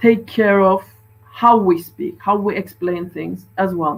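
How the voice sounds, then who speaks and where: With a Turkish accent, a woman speaks very slowly at medium pitch with ordinary pitch variation. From Turkey. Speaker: doctor. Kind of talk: conference talk.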